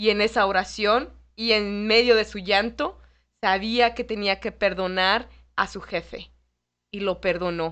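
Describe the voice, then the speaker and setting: A woman with an unremarkable speaking voice talks at a fairly slow pace and medium pitch, with fairly even intonation against a quiet background. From Mexico City. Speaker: lay ministry instructor. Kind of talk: radio interview on faith. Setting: radio studio.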